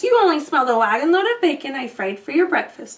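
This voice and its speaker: Speaking very fast and loud, a woman bellows in a put-on character voice with a high pitch and very wide pitch swings. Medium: read story.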